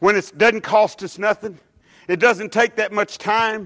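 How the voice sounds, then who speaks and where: A man's high-pitched voice is heard against a quiet background. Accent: Texan. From Dallas, Texas. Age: 60s. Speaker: lay preacher. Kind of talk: sermon. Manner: halting.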